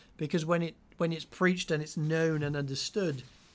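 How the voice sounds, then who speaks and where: Here a man with a fairly high voice speaks in an Australian accent. The recording is very clean, with a silent background. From Sydney, Australia. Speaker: pastor and podcast co-host. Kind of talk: casual podcast discussion.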